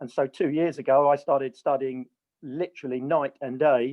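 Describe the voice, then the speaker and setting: A man speaks in a normal speaking voice at a fairly high pitch. His pace is moderate and his intonation fairly even. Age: 60s. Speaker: common law educator. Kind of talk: interview.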